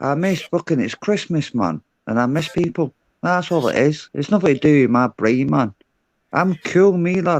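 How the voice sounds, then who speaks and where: Speaking with a Glaswegian accent, a man with a fairly high voice and lively intonation takes a fairly slow pace. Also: dry, close sound with no echo. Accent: Glaswegian Scottish. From Glasgow, Scotland. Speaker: panel caller. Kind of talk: heated debate. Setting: video call on livestream. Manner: sounds aggressive.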